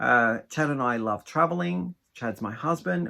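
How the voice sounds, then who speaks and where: A man with an Australian accent at a fairly slow pace, on a very clean recording with a silent background. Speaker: craft vlogger. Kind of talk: casual Q&A vlog.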